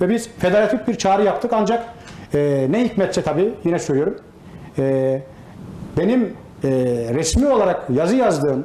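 With audible room echo, a man with a high pitch speaks at a moderate pace using lively intonation. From Turkey, Isparta; Turkey. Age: 40s. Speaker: retired gendarmerie specialist, association president; interview guest. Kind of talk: TV interview; interview answer. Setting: association headquarters office. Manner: hesitant with many fillers. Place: office. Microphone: lapel.

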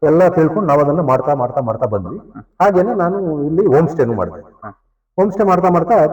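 A man's fairly high voice with lively intonation and vocal fry. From Malnad region, Karnataka, India. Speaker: farmer and homestay owner. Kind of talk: casual interview.

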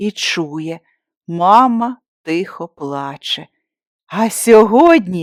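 Text is read aloud in a natural voice, its intonation lively and the background quiet.

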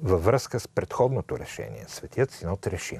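A man's voice with a dark, mellow tone comes through dry with no echo at a moderate pace. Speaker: priest, TV host. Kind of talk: reading an official church text. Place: studio. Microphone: lapel.

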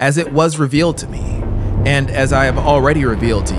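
A man's voice amid noticeable background noise. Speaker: audiobook narrator. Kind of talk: horror audiobook reading. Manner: slow, meditative. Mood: eerie, intense storytelling. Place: studio. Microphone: studio mic.

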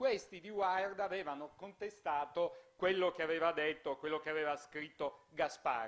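A high-pitched man's voice at a moderate pace with ordinary pitch variation. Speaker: festival moderator. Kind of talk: moderated panel discussion. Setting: stage with audience. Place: hall. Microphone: handheld.

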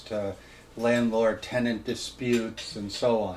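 Over light background noise, a man speaks at a fairly slow pace in a flat, monotone delivery. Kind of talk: informal talk to a small audience. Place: home room. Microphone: camera far.

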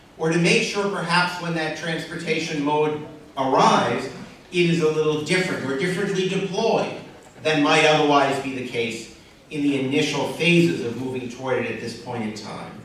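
Amid strong room echo and light background noise, a man speaks at a moderate pace and fairly high pitch with ordinary pitch variation. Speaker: panel moderator, regional planning director. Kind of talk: panel moderation and introductions. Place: hall. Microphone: camera far.

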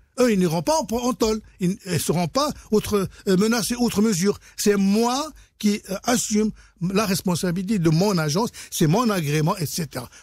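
A man speaks at a fairly slow pace with a high pitch and lively intonation. The sound is dry with no echo, the loudness very even, and the background quiet. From Morocco. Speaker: insurance trainer and consultant. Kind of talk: radio interview explaining regulation. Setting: radio studio. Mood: cheerful, smiling. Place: studio. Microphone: studio mic.

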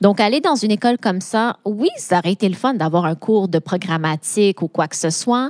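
A woman with a Quebec accent speaks at a moderate pace with ordinary pitch variation. The recording is very clean, with a silent background and a dry, close sound with no echo. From Quebec, Laval. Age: 30s. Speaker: AI and data consultant. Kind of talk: interview.

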